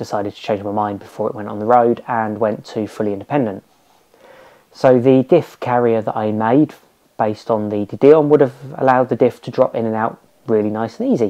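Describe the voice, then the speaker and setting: A dark, mellow tone comes at a moderate pace with fairly even intonation over a quiet background. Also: man. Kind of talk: casual explanatory vlog chat. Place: garage.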